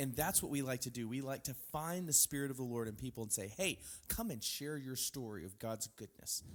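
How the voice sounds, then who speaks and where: A plain, everyday voice in an American accent, fairly quick pace and lively intonation. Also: man, medium pitch for a man. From Texas. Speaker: podcast host. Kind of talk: casual chat.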